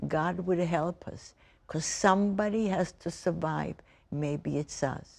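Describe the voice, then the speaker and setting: On a very clean recording with a silent background, a woman speaks very slowly at a fairly low pitch with fairly even intonation. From Poland. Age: 90s. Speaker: Holocaust survivor. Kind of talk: testimony. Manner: halting.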